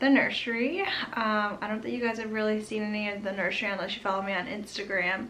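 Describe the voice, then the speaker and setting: A woman talks very fast in a fairly high voice. There is noticeable background noise and audible room echo. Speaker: vlogger. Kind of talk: casual vlog update. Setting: home nursery. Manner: whispering, quiet; chatty, many fillers.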